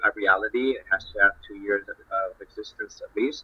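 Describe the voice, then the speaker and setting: A man speaks at a moderate pace with a Spanish accent. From Spain. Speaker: social impact fund representative. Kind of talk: online panel discussion. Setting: online group call. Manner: halting, repeats words. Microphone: video call.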